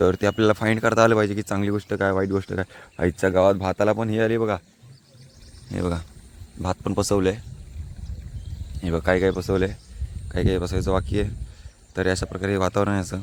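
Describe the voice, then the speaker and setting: A man speaks with a very deep, low pitch and vocal fry. His pitch variation is ordinary. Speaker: vlogger. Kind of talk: outdoor vlog narration. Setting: outdoors in rice fields. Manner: casual, chatty.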